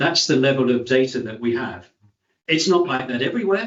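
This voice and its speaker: A man with a British accent talks at a fairly quick pace and a medium pitch. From UK. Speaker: fire safety expert speaker. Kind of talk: presentation at online meeting.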